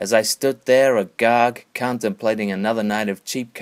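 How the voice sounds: The speaker reads in a natural reading voice.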